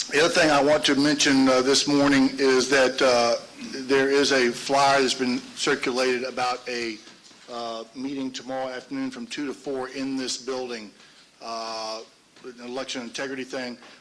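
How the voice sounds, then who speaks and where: Noticeable background noise sits behind a man at medium pitch. His intonation is monotone and flat, with big swings in loudness. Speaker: election board chairman. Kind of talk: formal public meeting. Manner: fast.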